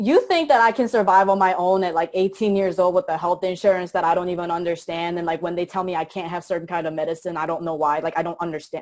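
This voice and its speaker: A woman rattles along at a very fast pace with a Korean accent. Her pitch sits fairly low. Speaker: motivational speaker. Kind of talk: interview. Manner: animated.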